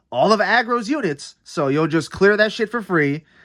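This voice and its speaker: A man talks at a moderate pace in a bright, sharp, animated tone, with very wide pitch swings. The recording is very clean, with a silent background. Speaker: card game content creator. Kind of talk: casual deck review.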